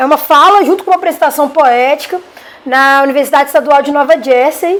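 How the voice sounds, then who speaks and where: A woman's high-pitched voice in a Minas Gerais accent, at a fairly quick pace, with ordinary pitch variation. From Minas Gerais, Brazil. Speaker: rapper and poet. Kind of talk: interview.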